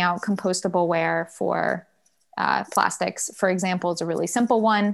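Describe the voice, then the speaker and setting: Speaking in an American accent, a woman holds a medium pitch with monotone, flat intonation. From US South, Durham, North Carolina. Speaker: sustainability consultant. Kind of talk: interview.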